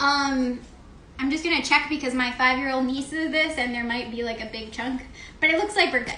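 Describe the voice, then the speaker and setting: A woman's raised, projected, high-pitched voice at a fairly quick pace with ordinary pitch variation, audible room echo and noticeable background noise. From Mexico. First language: Spanish. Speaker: chef and dietitian. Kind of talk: cooking demonstration. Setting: kitchen live stream with camerawoman. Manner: casual, with frequent fillers.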